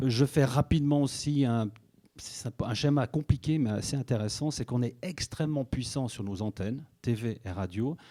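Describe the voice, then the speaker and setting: A man with a slight Swiss French accent speaks at a moderate pace in a medium pitch with ordinary pitch variation and a dark, mellow tone. The recording is very clean, with a silent background and a dry, close sound with no echo. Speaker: media executive at a broadcaster. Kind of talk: conference talk.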